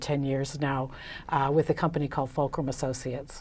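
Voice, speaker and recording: A woman speaks at a moderate pace in a very clean recording with a silent background. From United States. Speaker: business consultant. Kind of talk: interview. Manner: hesitant with many fillers.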